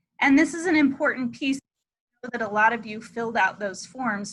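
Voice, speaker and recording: A woman speaks at a moderate pace in an ordinary speaking voice. Her intonation is lively. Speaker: school administrator. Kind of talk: virtual information meeting for parents. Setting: video call.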